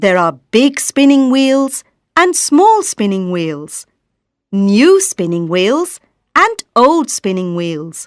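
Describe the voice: Delivered at a slow pace with big pitch swings, the voice has a dry, close sound with no echo on a very clean recording with a silent background. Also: woman, medium pitch for a woman.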